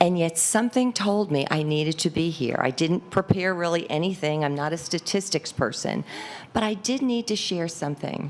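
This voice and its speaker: A woman speaks at a moderate pace in a fairly low pitch, with an ordinary speaking voice. Her intonation is lively. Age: 60s. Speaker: public commenter. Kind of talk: unprepared public comment.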